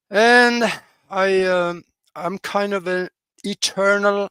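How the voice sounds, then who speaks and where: Recorded dry and close with no echo, a man with a high pitch projects a raised voice at a very slow pace and fairly even intonation. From Norway. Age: 80s+. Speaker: pilot and radio host. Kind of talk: interview. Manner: halting, many fillers.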